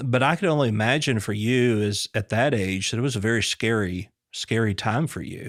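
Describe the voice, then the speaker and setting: On a very clean recording with a silent background, a man uses an ordinary speaking voice, medium pitch, ordinary pitch variation and a moderate pace. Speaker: podcast host. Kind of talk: interview question.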